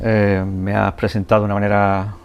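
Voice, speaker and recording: A man speaks with an Andalusian accent at a fairly low pitch. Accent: Andalusian (Cádiz) Spanish. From Andalusia, Spain (El Puerto de Santa María, Cádiz). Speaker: photojournalist. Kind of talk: interview. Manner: hesitant, many fillers.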